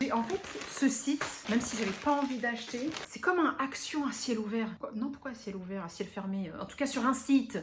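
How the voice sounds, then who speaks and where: A high-pitched woman's voice with lively intonation over noticeable background noise. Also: moderate pace. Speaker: beauty and lifestyle YouTuber. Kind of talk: unboxing vlog. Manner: animated.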